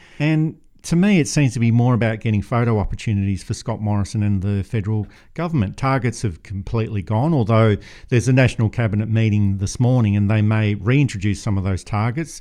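A man with a dark, mellow tone, a fairly low pitch and an Australian accent, talking at a very fast pace. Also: ordinary pitch variation. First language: not English. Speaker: podcast host, editor. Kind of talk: political commentary podcast.

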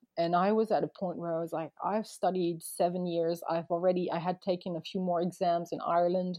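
A woman with a slight French accent speaks fairly quickly in a fairly low voice, her intonation monotone and flat. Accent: light French accent in English. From France, Paris and Montpellier, early childhood near Boston. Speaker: wedding photographer, former lawyer. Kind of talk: casual interview. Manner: hesitant, many false starts; laughs often.

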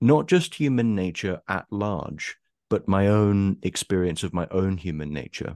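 A man with an Essex accent speaks at a fairly slow pace in a very deep, low voice with ordinary pitch variation. The sound is dry and close with no echo, over a quiet background. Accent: southern English, Essex. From Essex, England. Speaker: anonymous writer and YouTuber. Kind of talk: casual interview conversation. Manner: hesitant, repeats words.

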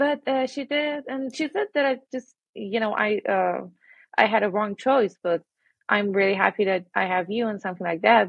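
Speaking with an Iranian accent, a woman uses a medium pitch and lively intonation. Her pace is moderate. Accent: Iranian (Persian) English. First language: Persian. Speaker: interviewee sharing personal story. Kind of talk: personal testimony. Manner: halting.

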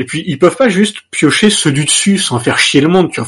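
This man's voice is high for a man, with lively intonation and a fairly quick pace. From Normandy, France. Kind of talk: casual chat.

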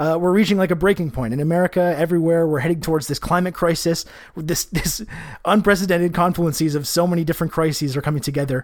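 A man talks at a very fast pace in a high pitch. His intonation stays fairly even. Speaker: podcast co-host. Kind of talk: casual chat.

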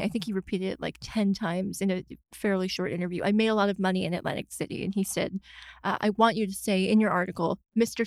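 Dry and close with no echo, the recording captures a woman with an unremarkable speaking voice, medium pitch and fairly even intonation. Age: 20s. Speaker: political journalist. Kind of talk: casual interview chat. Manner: soft-spoken.

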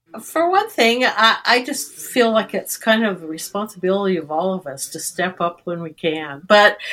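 Lively intonation from a woman at medium pitch, bright and sharp in tone, at a moderate pace. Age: 80s. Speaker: volunteer offering her home. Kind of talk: interview.

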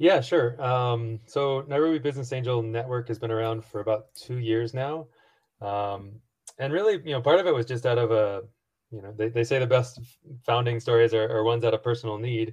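A man with a Midwestern American accent, medium in pitch and somewhat breathy, with ordinary pitch variation against a quiet background. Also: fairly quick pace. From US Midwest, rural Missouri. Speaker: entrepreneur and angel investor. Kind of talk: interview. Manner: halting, with many repetitions and fillers.

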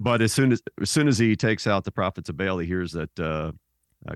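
A man speaks with an American accent at a moderate pace, his voice showing vocal fry. His pitch swings very widely, and the sound is dry and close with no echo. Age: 50s. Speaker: theologian and author. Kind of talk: interview.

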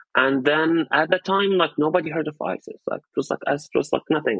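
A man speaks with an Arabic accent in a fairly high pitch. His pace is moderate. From Syria, Raqqa. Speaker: journalist, activist. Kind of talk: interview testimony.

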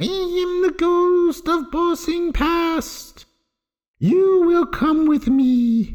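A man puts on a character voice that is extremely high in pitch. He speaks at a very slow pace. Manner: solemn, commanding.

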